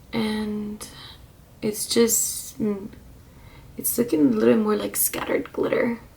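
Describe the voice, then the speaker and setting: Whispering and soft-spoken, a woman talks at a very slow pace with long, frequent pauses while noticeable background noise plays behind her. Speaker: beauty vlogger. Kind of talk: casual chat. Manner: whispery soft-spoken. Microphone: quiet, volume turned up.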